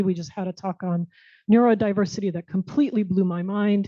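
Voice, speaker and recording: This woman has an ordinary speaking voice with an American accent, medium pitch, ordinary pitch variation and a fairly quick pace. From United States. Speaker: tech professional and diversity speaker. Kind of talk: talk and audience Q&A.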